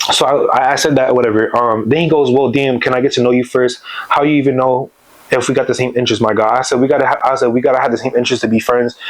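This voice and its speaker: Over noticeable background noise, a man at a medium pitch rattles along at a very fast pace, with fairly even intonation and very even loudness. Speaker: YouTuber telling personal stories. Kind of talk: storytime monologue. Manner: casual, many fillers and restarts.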